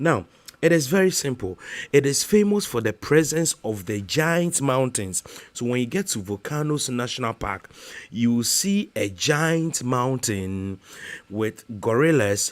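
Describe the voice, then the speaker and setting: With a Ghanaian accent, a man speaks at a fairly slow pace and medium pitch, his voice making very wide pitch swings on a very clean recording with a silent background. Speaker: YouTuber. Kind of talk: casual vlog talk to camera. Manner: halting, many fillers.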